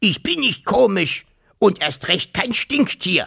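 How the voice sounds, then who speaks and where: Putting on a raspy, hissing character voice, a man speaks high for a man at a fairly slow pace. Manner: hissing, offended.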